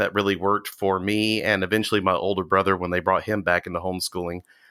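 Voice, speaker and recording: At a very fast pace, a man with an Alabama accent and a fairly low pitch speaks in a bright, sharp tone on a very clean recording with a silent background. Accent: Southern US (Alabama). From US South, Walker County, Alabama. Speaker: cult survivor. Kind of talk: interview testimony.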